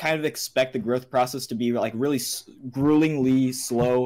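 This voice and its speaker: A man with a fairly high pitch talks at a moderate pace on a very clean recording with a silent background. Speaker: video creator hosting a podcast. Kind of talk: casual chat. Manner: halting, many fillers.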